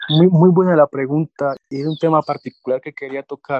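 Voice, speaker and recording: Fairly high in pitch yet dark and mellow in tone, a man speaks with fairly even intonation. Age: 20s. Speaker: environmental engineer and climate network director. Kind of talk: interview. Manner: halting.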